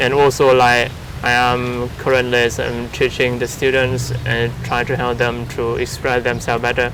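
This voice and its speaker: With noticeable background noise and audible room echo, a man speaks at a moderate pace and medium pitch in a monotone, flat intonation. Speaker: English teacher. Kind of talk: casual conversation. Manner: hesitant, many fillers.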